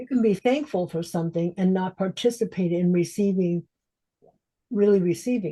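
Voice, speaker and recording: A woman's medium-pitched, dark, mellow voice, somewhat breathy, at a moderate pace with big swings in loudness. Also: ordinary pitch variation. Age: 70s. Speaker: transformational coach. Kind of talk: interview conversation.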